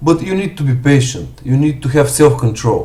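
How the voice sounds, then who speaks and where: In a strong Bulgarian accent, a man with a fairly high pitch sounds somewhat breathy amid audible room echo. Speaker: forex trader. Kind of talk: live stream commentary and Q&A. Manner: halting, many fillers.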